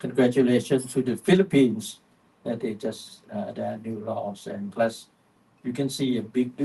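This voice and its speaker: A man speaks with a Thai accent at a medium pitch. His tone is dark and mellow, and somewhat breathy. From Thailand. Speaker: panel speaker, vaping advocate. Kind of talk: panel discussion. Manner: halting, many fillers.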